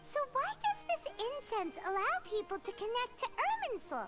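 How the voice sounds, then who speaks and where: A squeaky, put-on character voice at an extremely high pitch talks at a moderate pace over loud music in the background. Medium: video game. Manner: lively, inquisitive.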